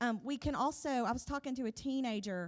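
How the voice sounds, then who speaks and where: With ordinary pitch variation, a plain, everyday voice proceeds at a moderate pace. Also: woman. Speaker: pastor's wife and worship leader. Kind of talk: sermon.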